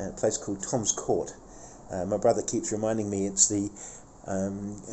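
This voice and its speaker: Here a man speaks at a fairly low pitch. Light background noise can be heard. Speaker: travel vlogger. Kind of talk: casual vlog chat. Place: street. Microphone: phone near.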